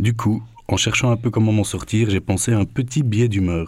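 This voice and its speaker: He is a man with a Belgian accent. His pitch is fairly low and varies in an ordinary way. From Belgium. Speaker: radio columnist. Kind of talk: scripted humour column.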